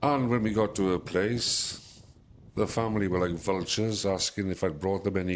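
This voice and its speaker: With a British accent, a man speaks at a fairly low pitch and a moderate pace, his intonation fairly even and his loudness very even. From UK. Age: 60s. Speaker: expat interviewee. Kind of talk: interview storytelling.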